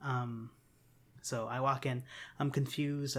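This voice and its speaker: A man speaks at a moderate pace and medium pitch in a flat monotone, on a very clean recording with a silent background. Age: 20s. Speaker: podcast host. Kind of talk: casual chat.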